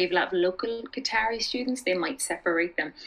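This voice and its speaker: A woman with an Irish accent, very fast, with ordinary pitch variation. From Ireland. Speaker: expat teacher and community founder. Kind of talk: casual interview chat.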